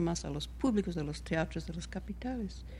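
A woman talks at a fairly quick pace. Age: 60s. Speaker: choreographer and dance teacher. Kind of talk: interview.

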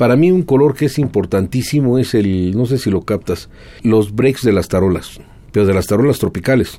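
This man speaks at a medium pitch and a moderate pace. His is an ordinary speaking voice with ordinary pitch variation. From Mexico City. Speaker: guitarist and lawyer. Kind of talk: interview.

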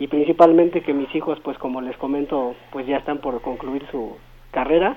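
Fairly high for a man, this plain, everyday voice moves at a moderate pace with fairly even intonation. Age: 40s. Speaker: caller. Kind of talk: phone-in chat.

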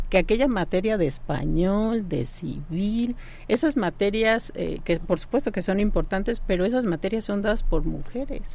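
Speaking in an ordinary speaking voice, a woman goes at a fairly slow pace with medium pitch and lively intonation. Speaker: law professor. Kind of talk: radio interview.

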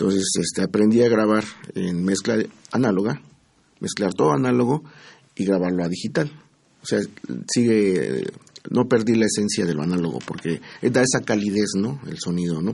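A man speaks at a moderate pace in a dark, mellow tone, leaving long, frequent pauses. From Mexico. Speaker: musician. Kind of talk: interview.

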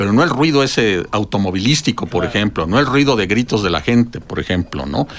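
Barely pausing, a man with a fairly low pitch races along at a very fast pace with lively intonation. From Mexico, outside Mexico City. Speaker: ecology researcher and professor. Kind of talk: radio interview. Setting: radio studio.

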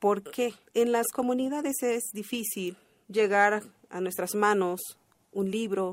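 A woman speaks with a Chiapas accent. Her voice sits fairly high and moves at a very slow pace. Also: ordinary pitch variation. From Chalam del Carmen, Ocosingo, Chiapas, Mexico. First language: Tseltal (speaking Spanish). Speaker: poet. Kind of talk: pre-recorded interview segment.

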